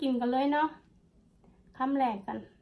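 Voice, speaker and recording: A woman speaks at a high pitch. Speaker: food vlogger. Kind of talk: casual vlog chat. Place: home room. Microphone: phone near.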